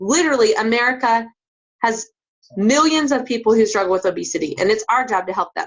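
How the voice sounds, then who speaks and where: Very wide pitch swings mark a woman's very fast speech. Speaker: fitness business coach. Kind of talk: recruiting pitch. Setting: group call.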